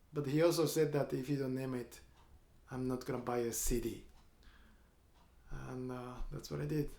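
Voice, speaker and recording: A man with a Japanese accent, medium pitch and a dark, mellow tone, monotone and flat in intonation, at a moderate pace with long, frequent pauses and audible room echo. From Japan, Kyoto. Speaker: guitarist and composer. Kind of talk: storytelling between songs in a showcase performance. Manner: halting, frequent uh fillers.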